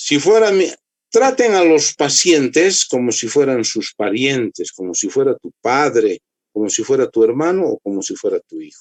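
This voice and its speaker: A man talks at a moderate pace with big swings in loudness. The sound is dry and close, with no echo. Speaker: medical lecturer, orthopedic doctor. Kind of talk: lecture. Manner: dry, strict.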